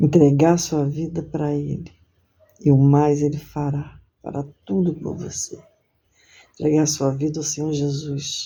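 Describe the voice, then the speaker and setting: A woman speaks at a very deep, low pitch in a somewhat breathy, monotone, flat voice. Her fairly slow delivery has long, frequent pauses, with audible room echo. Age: 60s. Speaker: lay preacher. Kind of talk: sermon; testimony.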